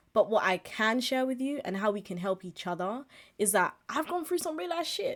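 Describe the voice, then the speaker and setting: Animated in tone, a woman speaks with a high pitch and very wide pitch swings. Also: moderate pace, very clean recording, silent background. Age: 20s. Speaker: podcast host and streamer. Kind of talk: casual monologue. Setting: live stream with webcam.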